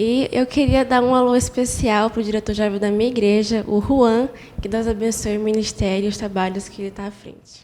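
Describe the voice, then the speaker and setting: Her voice is fairly high for a woman, with monotone, flat intonation. She keeps a moderate pace while her loudness swings widely. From Roraima, northern Brazil. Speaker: church member guest. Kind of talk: casual religious podcast chat.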